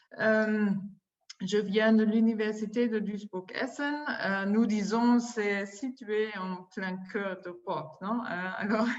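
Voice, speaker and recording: Using a non-native accent, a woman speaks at a very slow pace and fairly high pitch with fairly even intonation, amid audible room echo. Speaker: university administrator. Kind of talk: conference presentation. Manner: halting, many hesitations.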